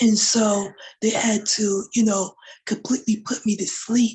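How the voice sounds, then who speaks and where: Somewhat breathy, a woman speaks fairly slowly at a fairly high pitch. Her intonation stays fairly even. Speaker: woman with spinal cord injury sharing experience. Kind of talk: personal testimony in a panel conversation. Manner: many fillers, halting.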